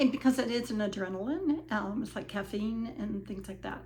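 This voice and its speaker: A woman at a medium pitch speaks with ordinary pitch variation, with audible room echo and noticeable background noise. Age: 70s. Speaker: vlogger sharing personal weight loss journey. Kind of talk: personal testimony monologue. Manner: hesitant, many fillers.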